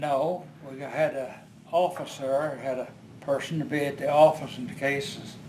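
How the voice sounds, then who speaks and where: A man speaks in a fairly high pitch with monotone, flat intonation at a moderate pace. His loudness swings widely, and there is noticeable background noise. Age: 80s+; old. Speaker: retired oil field supervisor. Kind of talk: interview answer.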